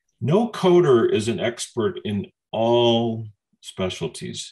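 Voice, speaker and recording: His voice is medium in pitch and somewhat breathy. The man's pitch swings very widely. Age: 60s. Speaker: coding training company leader. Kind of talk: Q&A in online training session. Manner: halting, with false starts.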